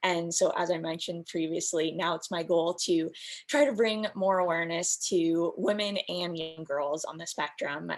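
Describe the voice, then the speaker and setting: A normal speaking voice with an American accent, fairly even intonation and a moderate pace. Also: woman, fairly low pitch for a woman. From US West Coast, San Diego. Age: 20s. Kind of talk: panel discussion. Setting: video call.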